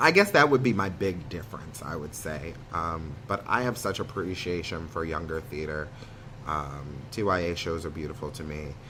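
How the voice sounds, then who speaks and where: Audible echo from the room colors the voice. Delivery runs fairly quick. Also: man. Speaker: theatre student, actor. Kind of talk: interview conversation. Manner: loud, high energy; hesitant with many ums.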